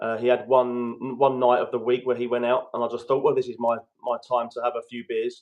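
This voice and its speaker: This man has a British accent. He keeps up a fairly quick pace. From London, England. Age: 30s. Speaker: guest coach on addiction recovery. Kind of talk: podcast interview, personal story.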